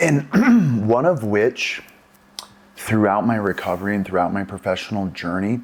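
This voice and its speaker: The man's fairly low voice moves at a moderate speed with ordinary pitch variation, noticeable noise audible in the background. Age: 40s. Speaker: podcast host, recovery center. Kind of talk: casual interview.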